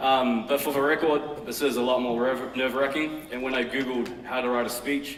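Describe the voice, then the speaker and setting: Amid noticeable background noise and audible room echo, a man at medium pitch speaks fairly quickly with fairly even intonation. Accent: New Zealand. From New Zealand, West Auckland. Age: 30s. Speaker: fashion brand founder. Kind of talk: conference talk. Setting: stage with audience.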